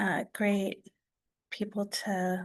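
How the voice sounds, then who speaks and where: A woman's medium-pitched voice, monotone and flat, at a very slow pace against a quiet background. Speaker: Native artist and illustrator. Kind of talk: artist talk. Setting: museum talk with audience. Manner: soft-spoken.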